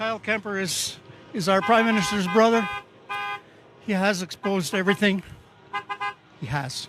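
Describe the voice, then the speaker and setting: A man talks at a moderate pace with a high pitch, ordinary pitch variation, and long, frequent pauses. Noticeable background noise runs behind him. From Quebec, Val-d'Or. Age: 60s. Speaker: retired protester. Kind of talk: street interview.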